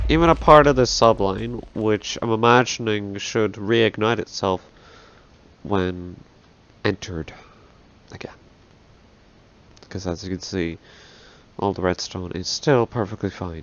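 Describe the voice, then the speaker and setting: Speaking fairly slowly with long, frequent pauses, a man with a fairly low voice is heard over noticeable background noise. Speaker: gaming video creator. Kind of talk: gameplay commentary.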